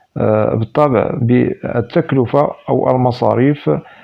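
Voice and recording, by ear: A man's medium-pitched voice with vocal fry and fairly even intonation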